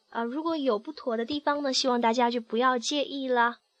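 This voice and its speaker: A high-pitched woman speaks at a moderate pace with fairly even intonation. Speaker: podcast host. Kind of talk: casual podcast monologue. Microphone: recorded on a phone.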